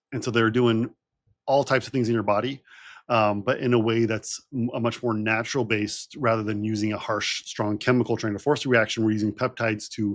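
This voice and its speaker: A man speaks at a medium pitch in a monotone, flat intonation. The recording is very clean, with a silent background. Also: fairly quick pace. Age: 40s. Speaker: health doctor and co-host. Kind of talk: casual explanation.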